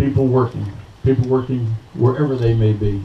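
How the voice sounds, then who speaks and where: Noticeable background noise is present. A man speaks over it at a fairly quick pace. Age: 70s. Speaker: retired army general. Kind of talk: speech at outdoor political picnic. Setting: outdoor picnic with crowd.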